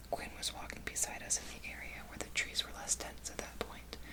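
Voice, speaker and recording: Someone whispers at a fairly quick pace with noticeable background noise behind them. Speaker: ASMR creator. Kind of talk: whispered book reading. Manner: whispered.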